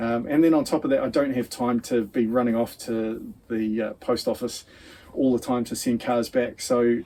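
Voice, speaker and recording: Speaking at a moderate pace, a man with a New Zealand accent has a medium pitch and a dark, mellow tone. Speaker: diecast racing channel host. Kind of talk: casual vlog talk to camera. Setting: home shed.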